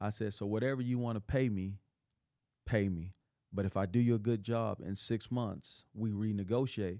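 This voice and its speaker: Speaking at a moderate pace with fairly even intonation, this voice has a dark, mellow tone and a West Texas accent, captured in a very clean recording against a silent background. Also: man, fairly low pitch for a man. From West Texas, Odessa. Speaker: motivational speaker and entrepreneur. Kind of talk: podcast interview.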